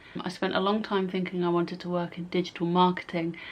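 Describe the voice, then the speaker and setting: Speaking at medium pitch, a woman has an English accent. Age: 20s. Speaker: YouTuber. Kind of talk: casual vlog.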